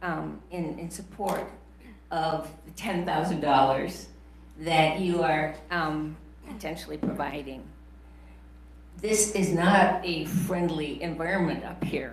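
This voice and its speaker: Long pauses come often as the speech moves at a very slow pace. Noticeable background noise and audible room echo fill the recording. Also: woman. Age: 70s. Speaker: retired professor speaking at public comment. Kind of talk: public comment at county board meeting.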